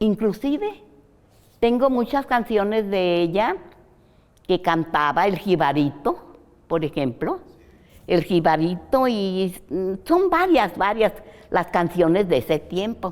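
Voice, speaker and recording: Speaking at a very slow pace with long, frequent pauses, a woman uses a medium pitch and lively intonation. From Mexico, Jalisco (Atotonilco el Alto). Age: 80s+. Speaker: interview guest recounting her life. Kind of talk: interview, life-story reminiscence. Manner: halting, with fillers and repetitions.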